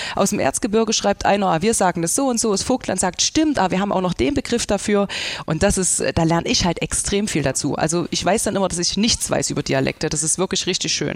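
Talking at a very fast pace, a woman uses a medium pitch and lively intonation. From Saxony, Germany. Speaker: social media dialect creator. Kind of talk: casual discussion.

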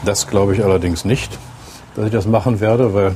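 Over noticeable background noise, a man with a fairly low pitch talks at a moderate pace with fairly even intonation. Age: 60s. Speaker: city mayor. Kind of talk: interview; reading aloud. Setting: in a bus and outdoors.

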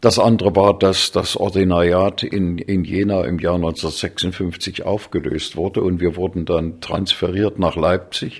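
Spoken at a fairly slow pace, the delivery is monotone, with flat intonation. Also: man. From Thuringia, Germany (Weimar). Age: 80s+. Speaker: conductor and musicologist. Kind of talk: interview. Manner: hesitant, many fillers.

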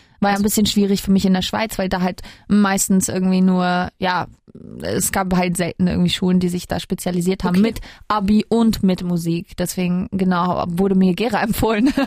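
A woman speaks at a fairly quick pace. Her voice sits at a medium pitch. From Switzerland, Kosovo-Albanian parents. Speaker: singer. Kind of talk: casual interview. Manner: animated.

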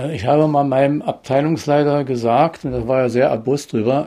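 The tone is dark and mellow. Delivery comes at a moderate pace. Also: man. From eastern Germany, Börde (Saxony-Anhalt). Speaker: retired economic planner. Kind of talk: interview. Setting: at home. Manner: halting.

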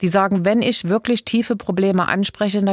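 In a normal speaking voice, a woman talks at a fairly quick pace with fairly even intonation, in a dry, close sound with no echo. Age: 60s. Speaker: state politician. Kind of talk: interview.

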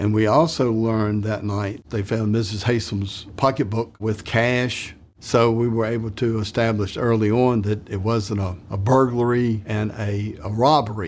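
A man's fairly low, a normal speaking voice, at a fairly slow pace with fairly even intonation. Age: 60s. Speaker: retired police investigator. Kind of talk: interview.

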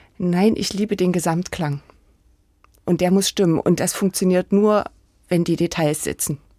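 In a dry, close recording with no echo, a woman with a medium pitch and a dark, mellow tone speaks at a moderate pace with fairly even intonation and long, frequent pauses. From Saxony-Anhalt, Germany (village near Sangerhausen). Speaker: architect. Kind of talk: interview.

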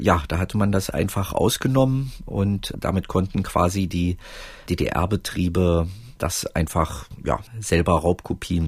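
A man speaks very slowly in a very deep, low, somewhat breathy voice with ordinary pitch variation. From East Germany, Roßlau and East Berlin. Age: 40s. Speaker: author and filmmaker. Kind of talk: casual interview. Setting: remote call with headset.

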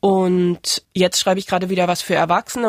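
Delivery is very fast. The recording is very clean, with a silent background. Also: woman. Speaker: author. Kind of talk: interview. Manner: halting.

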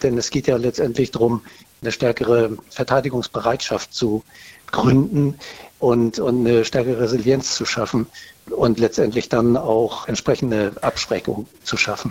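Against noticeable background noise, a man at medium pitch speaks at a moderate pace in a monotone, flat intonation. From northern Germany. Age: 50s. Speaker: caller, army reservist. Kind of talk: phone interview. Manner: hesitant with filler sounds.

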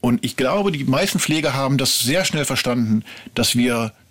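There is noticeable background noise behind a man's voice. He speaks at a moderate pace with lively intonation. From Ruhr area, western Germany. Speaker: TV documentary writer. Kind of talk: interview. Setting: studio.

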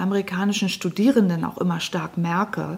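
A woman speaks in a dark, mellow, somewhat breathy tone at a moderate pace with ordinary pitch variation. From northern Germany, Lower Saxony (Lüneburg Heath). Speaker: historian. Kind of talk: radio interview. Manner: measured, with filler hesitations.

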